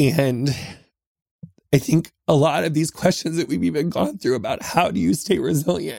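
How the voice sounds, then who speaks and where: This is a put-on character voice, raspy and low-to-middle in pitch. It moves at a moderate pace. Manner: grateful, heartfelt.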